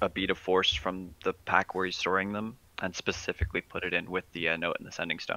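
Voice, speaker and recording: A man speaks at a fairly quick pace with a very deep, low pitch and a bright, sharp tone. His intonation is monotone and flat, in a dry, close sound with no echo. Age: 20s. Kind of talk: casual chat with in-character roleplay.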